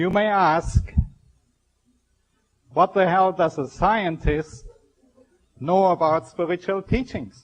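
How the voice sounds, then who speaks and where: In a strong German accent, a man with a high pitch speaks at a very slow pace, with long, frequent pauses and ordinary pitch variation. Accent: heavy German. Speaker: scientist giving a spiritual talk. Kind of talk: public lecture. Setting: stage with audience. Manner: formal.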